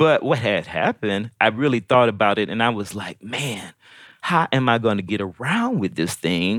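In an unremarkable speaking voice, a man with an American accent talks at a moderate pace and medium pitch with lively intonation, the sound dry and close with no echo and the recording very clean with a silent background. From US Midwest and Georgia (St. Louis, Decatur). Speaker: violinist. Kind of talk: interview.

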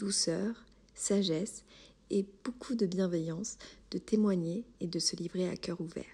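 A woman's medium-pitched, somewhat breathy voice, dark and mellow in tone, with fairly even intonation. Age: 30s. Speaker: podcast host. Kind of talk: scripted narration.

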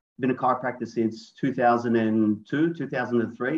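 Speaking in an Australian accent, a man keeps a medium pitch and fairly even intonation. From Australia, Sydney. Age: 40s. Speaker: chiropractor and business owner. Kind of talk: interview conversation.

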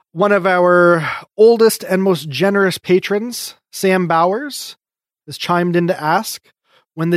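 The dry, close sound with no echo carries a man's high-pitched voice. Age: 30s. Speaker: podcast host. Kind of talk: casual chat. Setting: video call.

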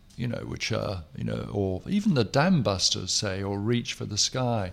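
A man speaks with an English accent. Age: 60s. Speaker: writer. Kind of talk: casual chat.

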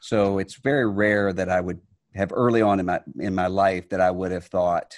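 A man with an American accent, a very deep, low pitch and fairly even intonation. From US Gulf Coast Mississippi. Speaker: religious leader and author. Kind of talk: interview conversation.

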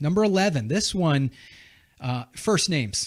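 A man speaks at a fairly slow pace, his voice somewhat breathy. His pitch swings very widely, and the recording is very clean with a silent background. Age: 40s. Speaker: podcast host, veteran. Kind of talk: casual chat. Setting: studio. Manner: animated.

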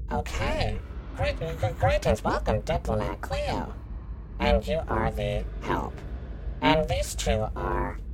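A put-on character voice moves at a very slow pace with long, frequent pauses over loud background noise. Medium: actual play. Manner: scripted, polite, mechanical.

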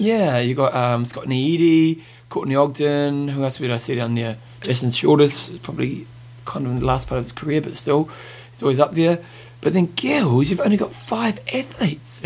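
Using ordinary pitch variation, a man with a New Zealand accent speaks in a fairly high voice. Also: moderate pace. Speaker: podcast host.

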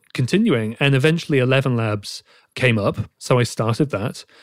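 Recorded very cleanly with a silent background, a man with a British accent speaks at a fairly quick pace with ordinary pitch variation, his sound dry and close with no echo. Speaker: reporter. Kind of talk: casual interview.

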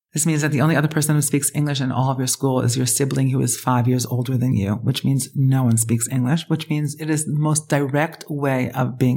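Speaking at a very fast pace, a woman has a very deep, low pitch. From Israel. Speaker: rabbi and spiritual mentor. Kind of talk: casual interview conversation. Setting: her apartment.

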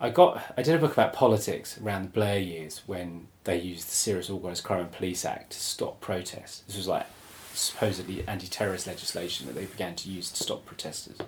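A man talks at a very fast pace in a very deep, low, somewhat breathy voice. His pitch variation is ordinary, and his loudness swings widely. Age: 40s. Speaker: writer and publisher. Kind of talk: casual chat.

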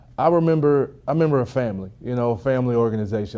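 A man speaks with a Texas accent. His tone is dark and mellow, at a medium pitch. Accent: Southern US (Texas). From rural East Texas. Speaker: former pro football player. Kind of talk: interview. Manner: halting, with fillers.

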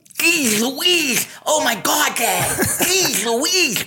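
Someone uses a put-on character voice with a high pitch, speaking at a very slow pace. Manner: goofy, exaggerated, playful.

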